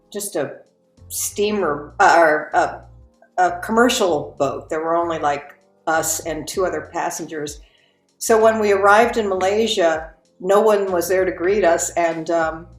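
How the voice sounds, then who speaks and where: Music plays in the background as a woman speaks at a fairly slow pace. Her pitch is medium, with ordinary variation. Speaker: voice actor. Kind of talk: interview answer.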